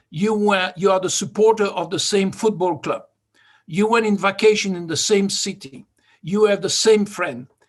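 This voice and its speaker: Speaking with a slight French accent, a man uses a high pitch and ordinary pitch variation. His pace is moderate, and the background is quiet. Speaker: vehicle dynamics expert and competition judge. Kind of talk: workshop presentation.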